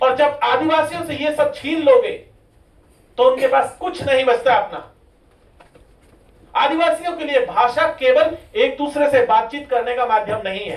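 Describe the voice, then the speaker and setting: Over noticeable background noise, a man speaks at an extremely high pitch with big swings in loudness. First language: Meeni (Meena dialect) (speaking Hindi). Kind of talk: seminar speech. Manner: impassioned.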